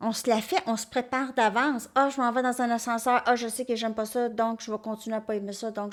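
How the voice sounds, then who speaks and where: This woman has a strong Quebec accent. Her pitch is fairly high. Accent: strong Québécois French. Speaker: tarot reader. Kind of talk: tarot reading monologue.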